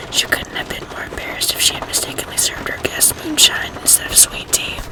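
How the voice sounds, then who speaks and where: Whispering at a fairly quick pace, a woman is heard over noticeable background noise. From Arkansas, USA. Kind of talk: ASMR whispered reading. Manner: whispered, soft.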